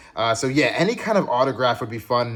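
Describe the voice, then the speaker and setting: A man's voice against noticeable background noise. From England. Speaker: card collecting YouTuber. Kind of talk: pack opening video commentary. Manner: casual, upbeat.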